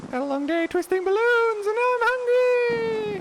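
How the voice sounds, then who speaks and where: Loud background noise surrounds an extremely high-pitched, put-on character voice. It moves at a moderate pace. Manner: cheerful, goofy.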